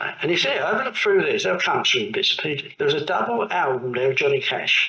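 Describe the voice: Amid audible room echo, a man at fairly high pitch talks at a fairly quick pace with big pitch swings, vocal fry and a bright, sharp tone.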